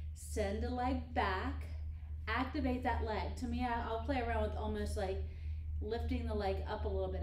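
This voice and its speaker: Over light background noise and audible room echo, a woman speaks at a moderate pace in a very deep, low pitch. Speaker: Pilates instructor. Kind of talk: tutorial. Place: gym. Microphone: camera far.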